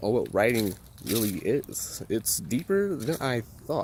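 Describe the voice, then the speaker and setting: A man with an American accent speaks at a medium pitch, his voice making very wide pitch swings. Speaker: college student. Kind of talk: vlog. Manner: casual.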